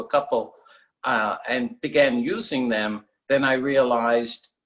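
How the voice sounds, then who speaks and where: Here a man with an American accent and an ordinary speaking voice talks at a medium pitch and a fairly slow pace, with ordinary pitch variation. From New York (Queens). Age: 60s. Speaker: seashell guitar pick maker. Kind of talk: interview.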